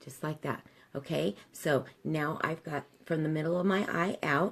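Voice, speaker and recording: Vocal fry runs through a woman's very deep, low-pitched voice. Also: ordinary pitch variation. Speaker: makeup tutorial host. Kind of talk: tutorial. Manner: soft-spoken.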